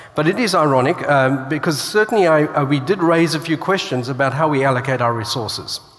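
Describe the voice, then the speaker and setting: A man talks at a fairly quick pace in a fairly high voice. Noticeable background noise runs behind him. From Australia (born in South Africa). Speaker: author and church speaker. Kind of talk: conference keynote. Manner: hesitant, many fillers.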